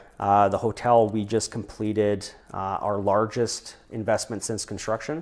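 A man with a Canadian accent speaks in a plain, everyday voice, fairly low in pitch, at a moderate pace with fairly even intonation, on a very clean recording with a silent background. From Saskatchewan, Canadian Prairies. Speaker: hotel developer and entrepreneur. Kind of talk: interview.

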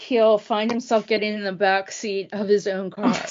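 In a normal speaking voice, a woman talks at a moderate pace with a medium pitch. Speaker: podcast co-host. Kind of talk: casual chat.

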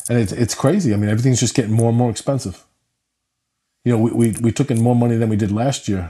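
With a New York accent, a man speaks very fast at a medium pitch in a dark, mellow, somewhat breathy tone, leaving long, frequent pauses against a quiet background. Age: middle-aged. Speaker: dog rescue founder. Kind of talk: interview conversation.

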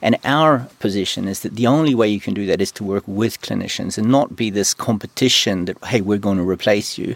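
With a New Zealand accent, a man speaks at a fairly quick pace with hardly any pauses, his pitch fairly low and its variation ordinary. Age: 50s. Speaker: medtech company CEO. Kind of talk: interview conversation.

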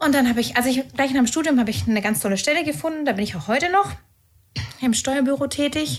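A woman talks at a very fast clip in a high voice. Her pitch rises and falls in an ordinary way. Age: 30s. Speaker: tax professional preparing for exam. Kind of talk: casual podcast chat.

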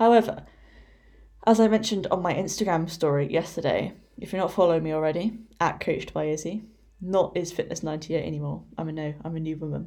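A woman's dark, mellow voice with an English accent, fairly low in pitch, at a fairly quick pace. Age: 20s. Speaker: fitness coach. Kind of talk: solo podcast monologue. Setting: at home. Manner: casual.

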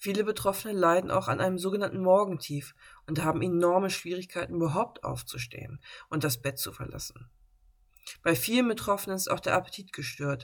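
A woman's lively, fairly quick voice with vocal fry. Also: medium pitch for a woman. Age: 30s. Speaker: podcast host living with bipolar disorder. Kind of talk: personal monologue podcast; scripted reading.

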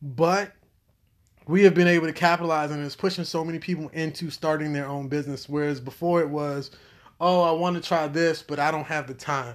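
A man with a fairly high voice speaks at a fairly quick pace on a very clean recording with a silent background. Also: fairly even intonation. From United States. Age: 30s. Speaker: podcast co-host. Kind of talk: casual chat.

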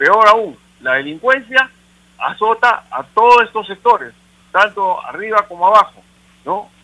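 A man projects his voice, raising it at a high pitch. He speaks at a fairly slow pace. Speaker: caller. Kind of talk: call-in opinion.

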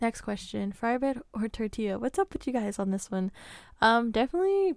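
A woman with a plain, everyday voice speaks at a fairly quick pace in a fairly high pitch. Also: very clean recording, silent background. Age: 20s. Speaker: podcast host. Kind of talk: solo Q&A podcast. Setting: home recording with mic. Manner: casual, laughs often.

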